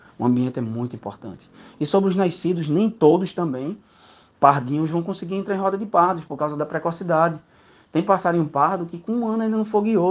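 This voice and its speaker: Against a quiet background, a man talks at a very fast pace in a high pitch with ordinary pitch variation. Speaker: canary breeder. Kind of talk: casual talk to a group.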